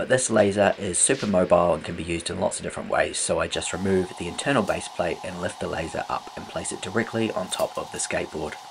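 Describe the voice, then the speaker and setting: A man talks at a very fast pace with a New Zealand accent. Noticeable background noise runs under his voice. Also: hardly any pauses. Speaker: furniture restorer and YouTuber. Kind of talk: tutorial voiceover. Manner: upbeat.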